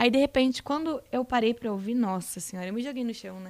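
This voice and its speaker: A woman speaks at a very fast pace in a high pitch. Her intonation is lively. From southern Brazil (Rio Grande do Sul). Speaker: reality show contestant. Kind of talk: casual interview chat.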